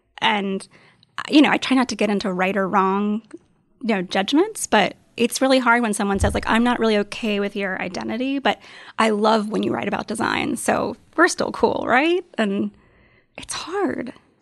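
A woman with an American accent speaks in a fairly high pitch at a moderate pace. Hers is a normal speaking voice with ordinary pitch variation. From US South. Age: 30s. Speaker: writer and design blogger. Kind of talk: interview.

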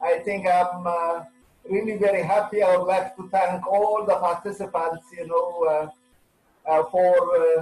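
This man's voice sits high in pitch and moves at a fairly slow pace. His intonation stays monotone and flat. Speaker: plant breeding scientist. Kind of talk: webinar interview.

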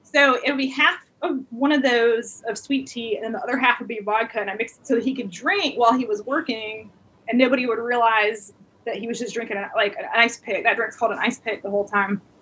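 A woman with an American accent talks fairly quickly in a fairly high voice with ordinary pitch variation, and there's noticeable background noise. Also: big swings in loudness. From Alabama, US South. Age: 40s. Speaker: comedian and photographer. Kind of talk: casual interview chat. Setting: video call.

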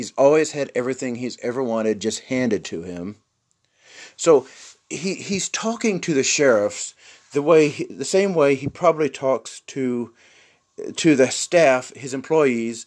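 Medium-pitched male speech in a plain, everyday voice, delivered fairly slowly. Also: lively intonation. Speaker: commentary podcast host. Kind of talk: angry rant, scornful political tirade mocking the governor. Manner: indignant, sneering and worked up, hammering points and repeating phrases.

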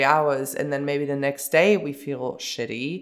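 A woman speaks at a fairly slow pace with a German accent. Her pitch is very deep and low, and her intonation stays fairly even. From Bavaria, Germany. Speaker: podcast host. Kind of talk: solo podcast monologue.

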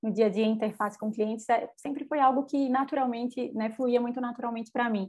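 A woman speaks at a fairly quick pace with a high voice and fairly even intonation. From Brazil, Recife. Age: 20s. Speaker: edtech sales executive. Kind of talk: interview.

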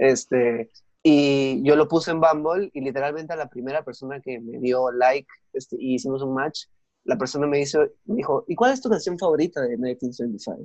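A man with a normal speaking voice talks at a moderate pace with a fairly high pitch and ordinary pitch variation, in a dry, close sound with no echo. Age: young. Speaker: podcast host, guest. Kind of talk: casual chat.

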